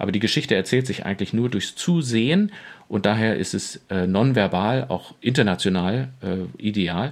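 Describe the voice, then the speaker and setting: This man has an ordinary speaking voice with fairly low pitch. He keeps a moderate pace with ordinary pitch variation. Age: 40s. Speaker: pastor. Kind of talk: casual chat.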